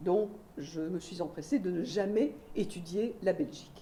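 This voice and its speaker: The pace is fairly slow. Audible room echo surrounds the voice. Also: woman. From Belgium. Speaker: sociologist, university researcher. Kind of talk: lecture. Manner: many hesitations (euh).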